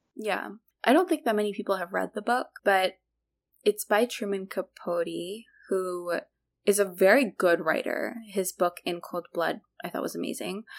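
A woman with an unremarkable speaking voice talks at a medium pitch and a moderate pace, with ordinary pitch variation. The sound is dry and close, with no echo. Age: 20s. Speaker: podcast host, surgery resident. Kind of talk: casual chat.

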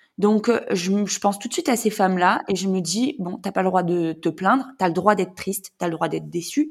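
The recording is very clean and the background silent. A woman talks at medium pitch, varying it in an ordinary way. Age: 30s. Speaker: mother in fertility treatment. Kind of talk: testimony. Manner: halting.

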